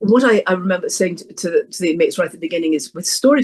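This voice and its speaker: A woman with an English accent, talking at a very fast pace. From England. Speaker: professional storyteller. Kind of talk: interview conversation. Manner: halting.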